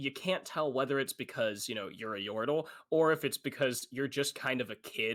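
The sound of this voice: The voice reads in an unforced way. It is an unforced reading voice.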